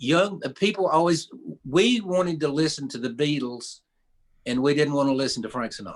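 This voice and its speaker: A man speaks with an Appalachian accent. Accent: Southern Appalachian US. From East Tennessee. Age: 70s. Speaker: storyteller and songwriter. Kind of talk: radio interview; storytelling. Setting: radio studio.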